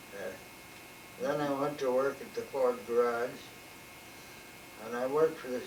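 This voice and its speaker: A man with a Midwestern US accent and fairly high pitch speaks at a fairly slow pace in a flat monotone, with long, frequent pauses and big swings in loudness, amid audible room echo and noticeable background noise. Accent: US Midwest. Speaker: retired mechanic. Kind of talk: oral history interview. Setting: at home. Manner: halting.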